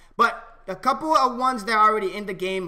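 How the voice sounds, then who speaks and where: The voice is raised and projected, moving at a very fast pace. Pitch varies in an ordinary way over a quiet background. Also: man. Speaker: gaming video creator. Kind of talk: tutorial. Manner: casual, with many fillers. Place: home room. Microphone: headset.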